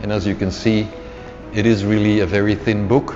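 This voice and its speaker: Against noticeable background noise, a man with a Flemish Belgian accent speaks at a moderate pace. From Belgium (Flemish, Antwerp). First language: Dutch. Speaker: author. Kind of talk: interview storytelling. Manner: hesitant, repeats words.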